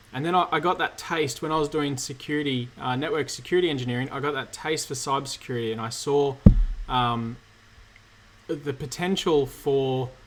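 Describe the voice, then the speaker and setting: A fairly high-pitched man with an Australian accent talks at a fairly quick pace with fairly even intonation. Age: 30s. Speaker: cybersecurity engineer and YouTuber. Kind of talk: live Q&A stream. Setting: livestream from home.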